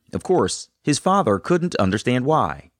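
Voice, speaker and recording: Vocal fry runs through this man's voice as his pitch swings very widely. The sound is dry and close with no echo. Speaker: podcast host. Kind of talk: scripted narration and interview. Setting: video call.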